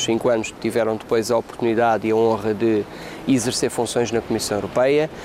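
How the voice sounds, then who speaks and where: Noticeable background noise surrounds a man at medium pitch. He talks at a fairly quick pace. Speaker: politician. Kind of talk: interview. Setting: parliament building.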